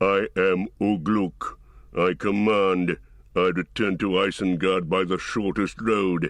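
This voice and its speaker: A growling, put-on character voice at a fairly slow pace. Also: man, very deep, low pitch for a man. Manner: growling, commanding.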